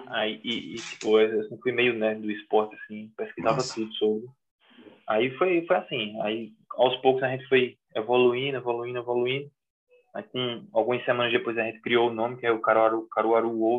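With a normal speaking voice, a man talks at a moderate pace, medium pitch and fairly even intonation. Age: 30s. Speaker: American football coach. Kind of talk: casual interview chat.

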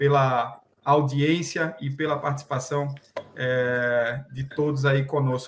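A man speaks in a fairly high, somewhat breathy voice. His intonation is monotone and flat. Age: 30s. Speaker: podcast host. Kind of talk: interview.

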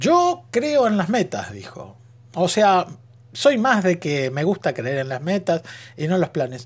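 Pitched high and animated in tone, a man's voice swings very widely in pitch at a fairly slow pace. The recording is very clean, with a silent background. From Argentina. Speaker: podcaster. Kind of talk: monologue.

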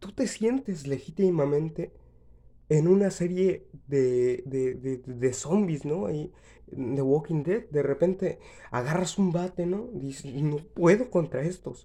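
A man's very slow, lively delivery, fairly high in pitch, with a dark, mellow tone and a Mexican accent. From Mexico. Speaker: podcaster. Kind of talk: comedic monologue. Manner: halting.

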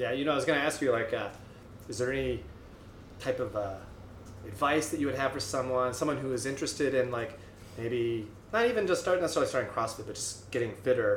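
A man of medium pitch at a very fast pace, with long, frequent pauses, ordinary pitch variation and audible room echo. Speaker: gym owner hosting a podcast. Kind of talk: casual interview.

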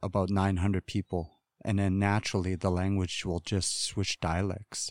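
The pace is moderate. The recording is very clean with a silent background, and the sound is dry and close with no echo. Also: man. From Wrigley, Northwest Territories, Canada. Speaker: radio host and Dene community figure. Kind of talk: casual interview, storytelling. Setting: podcast interview.

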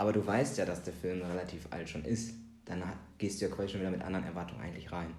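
A somewhat breathy man with a very deep, low pitch and ordinary pitch variation speaks at a very fast pace amid audible room echo. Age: 30s. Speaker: film podcast co-host. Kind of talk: casual chat.

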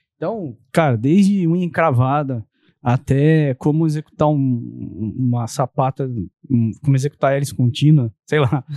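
A man talks at a fairly slow pace with a fairly high pitch and a dark, mellow tone. His pitch varies normally, and the sound is dry and close with no echo. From São Paulo state, ABC region. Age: 40s. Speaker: architect and real estate developer. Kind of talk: casual interview.

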